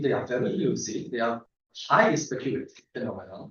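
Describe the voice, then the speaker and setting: A somewhat breathy voice in a Polish accent, with ordinary pitch variation and audible room echo. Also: man. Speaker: astronomer. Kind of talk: lecture. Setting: seminar room with audience. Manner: halting, many fillers.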